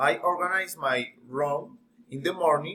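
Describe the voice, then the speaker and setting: A man with a Colombian accent speaks at a very slow pace. His tone is bright and sharp, with ordinary pitch variation. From Colombia, Bogota. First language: Spanish. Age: 20s. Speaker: English learner. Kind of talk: class presentation. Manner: halting.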